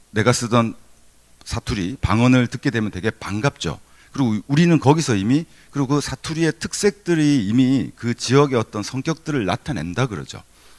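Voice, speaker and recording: A man speaks at a moderate pace in a medium pitch with lively intonation, recorded very cleanly against a silent background with a dry, close sound and no echo. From Gyeongsang region, South Korea. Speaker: university professor. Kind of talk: keynote lecture. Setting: conference hall with audience. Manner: conversational, with fillers and self-corrections.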